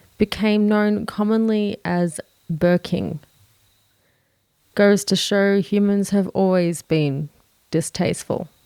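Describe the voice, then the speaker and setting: A woman's medium-pitched voice, dark and mellow in tone, at a very slow pace with long, frequent pauses, fairly even intonation, very even loudness and a dry, close sound with no echo. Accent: Australian. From Australia. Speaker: true crime narrator.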